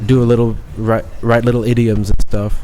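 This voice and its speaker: Monotone, flat intonation moves at a moderate pace, with audible room echo and noticeable background noise. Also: man. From Thailand (Bangkok), half Thai half British. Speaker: chef. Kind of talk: podcast interview. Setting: studio with headset microphones. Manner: fluid, natural.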